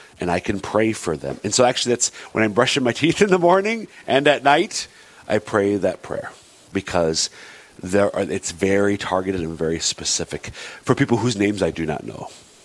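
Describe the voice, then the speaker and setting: The man's voice sits fairly low. His intonation is lively. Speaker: radio show co-host. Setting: radio studio. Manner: fast talker.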